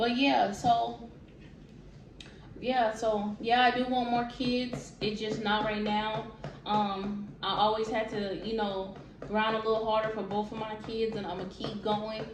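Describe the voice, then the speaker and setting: Music plays in the background as a woman speaks at a fairly slow pace in a fairly high pitch. Her intonation stays fairly even, and the room echo is audible. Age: 20s. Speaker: vlogger. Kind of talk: casual Q&A vlog.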